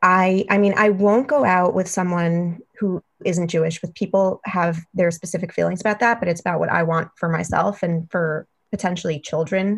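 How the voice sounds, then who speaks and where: A woman talks with an American accent at a medium pitch and a moderate pace. Her voice is somewhat breathy, and her intonation fairly even. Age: 30s. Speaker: podcast listener sharing dating story. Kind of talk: casual chat.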